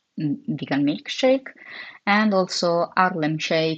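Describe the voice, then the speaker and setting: Spoken with an Italian accent at a very slow pace. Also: woman. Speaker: comic artist streamer. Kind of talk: casual chat while drawing on livestream. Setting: livestream. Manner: halting, many fillers.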